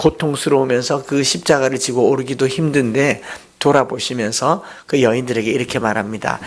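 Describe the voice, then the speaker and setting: A man at medium pitch speaks with fairly even intonation. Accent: Daegu. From Daegu, Korea. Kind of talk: preaching, sermon. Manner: sentence endings falling down.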